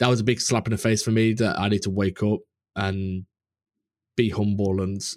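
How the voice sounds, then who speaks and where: A man with a British accent, in a very clean, dry and close recording with no echo and a silent background. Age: 20s. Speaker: game artist and podcaster. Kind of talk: casual chat.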